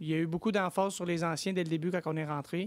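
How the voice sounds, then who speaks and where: In a Quebec accent, a man talks at a high pitch and a fairly quick pace with fairly even intonation. The recording is very clean, with a silent background. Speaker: reality TV contestant. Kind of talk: interview. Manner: hesitant, repetitive.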